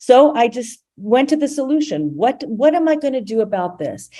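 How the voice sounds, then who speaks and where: This is a woman speaking. Her tone is dark and mellow. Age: 60s. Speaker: storyteller, medical writer. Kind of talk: personal storytelling talk. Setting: live-streamed video call event. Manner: halting, with frequent repetitions.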